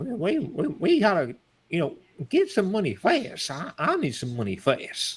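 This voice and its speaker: The speaker uses a put-on character voice. Delivery is at a moderate pace. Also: man, high pitch for a man. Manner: loud, shouting.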